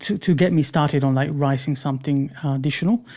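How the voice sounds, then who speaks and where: A man's fairly high voice in a non-native accent, with ordinary pitch variation. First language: not English. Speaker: UI/UX designer. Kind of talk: podcast interview answer.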